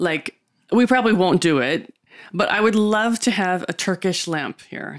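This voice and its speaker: With an American accent, a woman speaks in an ordinary speaking voice at medium pitch, with lively intonation, a moderate pace and a dry, close sound with no echo. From USA. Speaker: podcast co-host. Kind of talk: casual chat.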